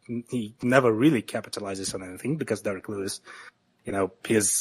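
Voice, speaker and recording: A man with a non-native accent talks very fast at a fairly low pitch, with fairly even intonation, in a dry, close sound with no echo. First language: not English. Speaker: MMA analyst. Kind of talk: casual podcast chat. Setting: online call. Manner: halting, many filler words.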